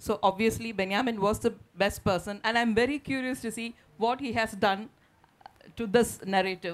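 Ordinary pitch variation carries the speech along at a moderate pace. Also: woman. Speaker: panel moderator and translator. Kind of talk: literary festival panel discussion. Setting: stage with audience. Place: stage. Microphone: handheld.

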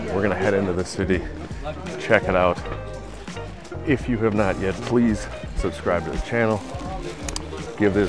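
A man at a moderate pace with ordinary pitch variation and long, frequent pauses, in a dry sound with no echo and clear music in the background. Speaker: travel vlogger. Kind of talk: casual vlog chat. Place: street. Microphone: phone near.

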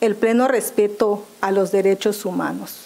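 A woman's pitch moves in an ordinary way as she talks fairly slowly. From Mexico, Maya zone of Quintana Roo. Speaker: public official, job candidate; candidate. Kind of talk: formal job interview before legislative committee. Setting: legislative committee hearing. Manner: formal. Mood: formal, composed. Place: meeting room. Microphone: podium.

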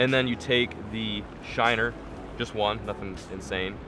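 Music plays in the background as a man speaks at a moderate pace. The sound is dry with no echo. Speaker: fishing vlogger. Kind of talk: tutorial. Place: boat. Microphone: phone near.

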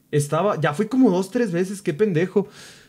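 A man with a Mexican accent and lively intonation against a quiet background. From Mexico. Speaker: streamer. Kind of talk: casual chat. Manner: animated. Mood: relaxed, joking. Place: home room. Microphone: studio mic.

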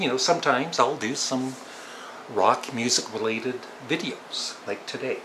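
In a Canadian accent, a man talks at a fairly slow pace over noticeable background noise. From Ontario, Canada. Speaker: YouTuber. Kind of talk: casual talk to camera. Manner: calm, relaxed. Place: home room. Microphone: webcam.

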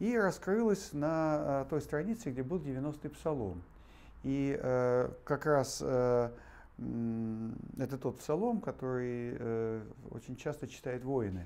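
Very slow pace with long, frequent pauses and a dark, mellow tone. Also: man. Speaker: interview guest. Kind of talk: interview answer, storytelling. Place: hall. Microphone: lapel.

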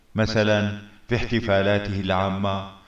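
A man speaks at a fairly slow pace. The background is quiet, with audible room echo. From Syria. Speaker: community figure addressing citizens. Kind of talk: public address to community. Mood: earnest, appealing, heartfelt. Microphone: webcam.

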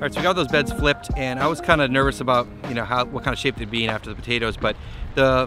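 A man at a very fast pace, dry with no echo, over music in the background. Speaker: small farmer vlogger. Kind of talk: casual vlog chat. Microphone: phone near.

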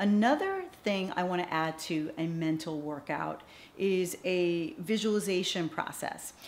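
Her intonation lively, a woman talks at a fairly slow pace. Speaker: TV host coach; former entertainment anchor and actress. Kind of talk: instructional talk to camera. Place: studio. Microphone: studio mic.

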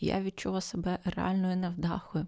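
A soft-spoken woman whispers in a dry, close sound with no echo. The recording is very clean, with a silent background. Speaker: ASMR podcaster. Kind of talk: ASMR podcast talk for sleep. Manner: half-whispered, soft.

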